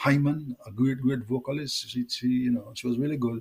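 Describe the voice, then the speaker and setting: Speaking with a Jamaican accent, a man uses a medium pitch, a moderate pace and a somewhat breathy voice. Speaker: reggae singer. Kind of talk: interview.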